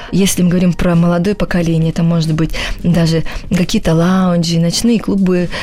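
A woman's fairly low, monotone and flat voice at a fairly quick pace, very even in loudness, over noticeable background noise. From Russia, Volgodonsk. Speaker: choreographer and dance show judge. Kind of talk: radio interview. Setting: radio studio. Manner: halting.

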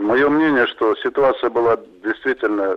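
This man talks at a moderate pace, his medium-pitched voice showing ordinary pitch variation. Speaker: former airline pilot, flight safety expert. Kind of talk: expert interview. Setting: phone line.

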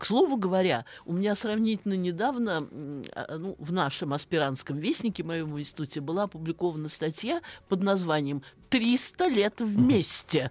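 At a moderate pace, a woman talks with lively intonation in a fairly low pitch and an ordinary speaking voice. The recording is very clean with a silent background. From Russia, Saratov (Volga region). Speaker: philology professor. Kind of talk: radio interview. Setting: studio.

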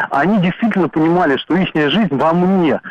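A man's high-pitched voice with ordinary pitch variation, dry and close with no echo, over noticeable background noise. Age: 30s. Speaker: radio caller. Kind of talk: call-in comment. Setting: phone call.

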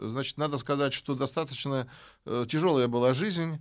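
Recorded very cleanly with a silent background, a man with a fairly high voice speaks at a fairly slow pace with ordinary pitch variation. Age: 50s. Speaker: history professor. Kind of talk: interview. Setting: studio. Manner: hesitant, filler-heavy.

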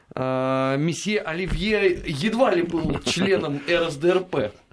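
A man talks at a very slow pace in a high pitch. His intonation is lively. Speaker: radio host. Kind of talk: casual chat. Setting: studio.

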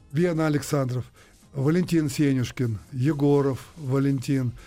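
A man speaks at a fairly slow pace, his pitch fairly high with ordinary variation. His tone is dark and mellow. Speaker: retired ice hockey player. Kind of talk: interview. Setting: studio. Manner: halting.

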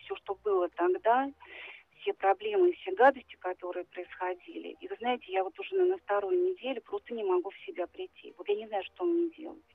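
Fairly high in pitch and swinging very widely, a woman's voice moves at a fairly quick pace. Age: 50s. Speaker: caller. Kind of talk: phone-in confession. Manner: halting.

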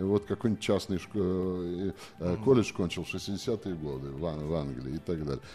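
Here a man talks in a very deep, low voice with a dark, mellow tone. He keeps a moderate pace and lively intonation. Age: 60s. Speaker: literary scholar and lecturer. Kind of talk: radio interview. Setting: live radio broadcast from a museum.

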